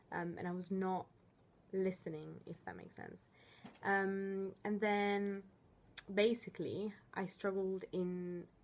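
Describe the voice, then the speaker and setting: In an Italian accent, a woman talks with monotone, flat intonation. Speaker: student coordinator. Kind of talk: tutorial. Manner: hesitant, many fillers.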